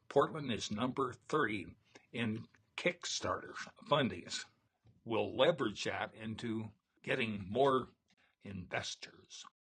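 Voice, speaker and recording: A man at medium pitch with ordinary pitch variation speaks very slowly, leaving long, frequent pauses. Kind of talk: casual chat. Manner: halting.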